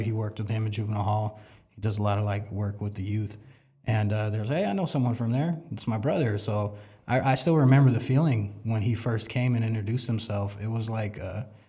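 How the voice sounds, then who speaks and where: Speaking very fast with an American accent, a man has a dark, mellow, somewhat breathy voice at a fairly low pitch, with fairly even intonation and audible room echo. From South San Jose, California. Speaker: church member sharing testimony. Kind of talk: testimony. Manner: casual, halting with fillers.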